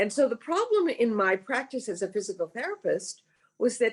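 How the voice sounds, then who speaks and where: Her pitch swings very widely as the woman talks at a fairly quick pace. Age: 70s. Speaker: Alexander Technique teacher. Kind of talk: interview.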